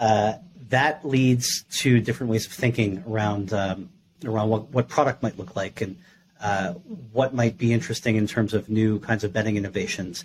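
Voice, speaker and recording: At a moderate pace, a man with a fairly low, somewhat breathy voice speaks with ordinary pitch variation. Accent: American. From New York. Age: 30s. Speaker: gaming industry executive and startup advisor. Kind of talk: podcast interview.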